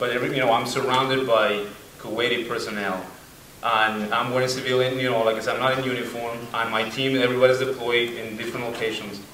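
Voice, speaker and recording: A man rushes along at a very fast pace with monotone, flat intonation and a medium pitch, amid audible room echo and noticeable background noise. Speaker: student veteran. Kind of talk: personal war story at a panel.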